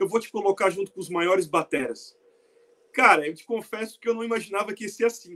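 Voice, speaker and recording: A man talks at a very fast pace in a raised, projected voice with a high pitch and a bright, sharp tone. His loudness swings a lot while his pitch varies in an ordinary way. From Brazil. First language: Portuguese. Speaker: web show co-host. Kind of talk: casual chat.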